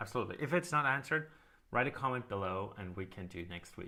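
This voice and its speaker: Very wide pitch swings and big swings in loudness mark a man's bright, sharp tone at a very fast pace, on a very clean recording with a silent background. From Austria. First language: German. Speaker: live stream co-host, software company team member. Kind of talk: casual live stream Q&A.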